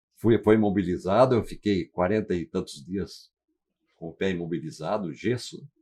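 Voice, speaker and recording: At a moderate pace, a man speaks in a fairly low voice with a dark, mellow tone. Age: 80s+. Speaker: retired firefighter. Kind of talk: testimony. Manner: halting.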